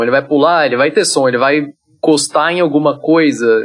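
Fairly high pitch from a man with a plain, everyday voice and ordinary pitch variation. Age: 20s. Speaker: solo game developer. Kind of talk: casual interview.

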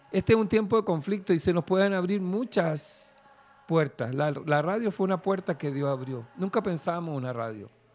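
The man's voice is high-pitched. His intonation is lively. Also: moderate pace. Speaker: preacher. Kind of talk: sermon. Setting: studio.

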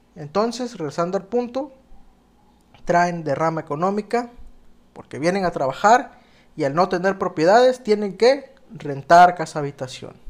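A man speaks in a high pitch. He leaves long, frequent pauses. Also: fairly slow pace. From Mexico, Oaxaca (moved to Baja California Sur at 14). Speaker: podcast host. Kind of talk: solo podcast monologue.

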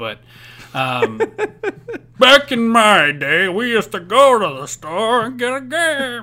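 A man puts on a character voice, extremely high-pitched with very wide pitch swings. He speaks at a very slow pace.

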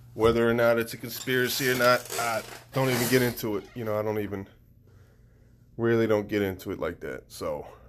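A man with an unremarkable speaking voice talks at a fairly quick pace, his medium pitch held to fairly even intonation. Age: 30s. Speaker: podcaster and social worker. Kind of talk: casual monologue. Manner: laid-back.

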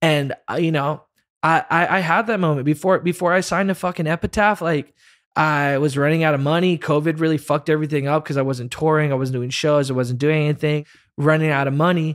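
Talking at a fairly quick pace, a man with a fairly high pitch keeps his loudness very even. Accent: American. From US South (Florida). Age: 30s. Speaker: musician. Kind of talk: casual chat. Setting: video call. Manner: animated.

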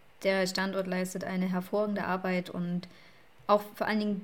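A woman speaks in a medium pitch. Her pace is moderate. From Saxony, eastern Germany. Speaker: podcast co-host. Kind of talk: casual chat.

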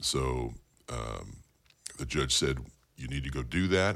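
In a very clean recording with a silent background, a man with an American accent speaks at a very deep, low pitch with vocal fry. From Bakersfield, California. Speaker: county supervisor and political candidate. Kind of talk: interview.

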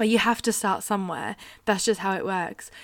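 The delivery is monotone and flat, recorded with a dry, close sound and no echo. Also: woman. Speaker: podcast host, nurse. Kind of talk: solo unscripted podcast monologue.

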